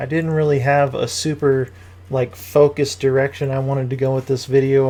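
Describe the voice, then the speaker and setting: The voice is somewhat breathy and moves at a fairly quick pace. Its intonation stays fairly even. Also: man. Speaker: gaming YouTuber. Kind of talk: tutorial. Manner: monotone.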